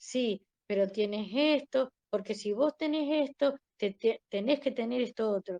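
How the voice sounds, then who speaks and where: Pitched fairly high, a woman talks very slowly in a dark, mellow tone with ordinary pitch variation, the sound dry and close with no echo. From Argentina. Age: 60s. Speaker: interviewee sharing life story. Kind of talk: interview testimony.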